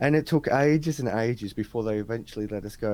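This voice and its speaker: Speaking very fast in an Australian accent, a man has a medium pitch and a dark, mellow tone. The recording is very clean, with a silent background. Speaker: crypto podcast host. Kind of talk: casual interview chat. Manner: animated storytelling.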